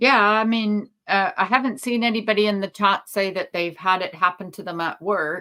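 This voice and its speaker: Woman's medium-pitched voice in a bright, sharp tone, with hardly any pauses. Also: ordinary pitch variation, moderate pace. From Canada. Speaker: lawyer and talk show host. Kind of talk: casual live-stream chat.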